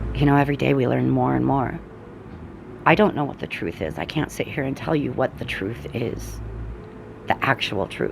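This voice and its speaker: A woman talks at a moderate pace with long, frequent pauses. Noticeable background noise runs underneath. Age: 40s. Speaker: energy and oracle reader. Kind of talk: casual spiritual talk to camera.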